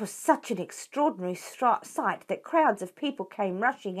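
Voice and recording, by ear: This is reading aloud in a natural voice with lively intonation.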